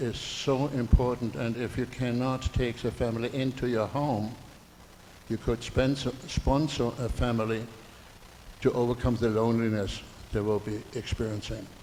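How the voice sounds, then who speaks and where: A man speaks with a German accent at a medium pitch. His pace is moderate and his intonation fairly even. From Germany. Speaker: audience member. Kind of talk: public comment at community meeting.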